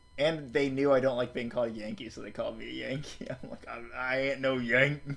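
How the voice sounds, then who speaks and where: A man with an American accent talks at a fairly quick pace, medium in pitch, with fairly even intonation and big swings in loudness. Noticeable background noise sits behind him. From US South. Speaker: streamer. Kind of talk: casual chat. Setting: live stream call.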